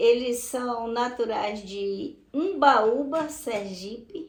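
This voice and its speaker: A woman's high-pitched voice. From Brazil, southern Bahia. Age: 70s. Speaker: retired teacher. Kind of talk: interview testimony.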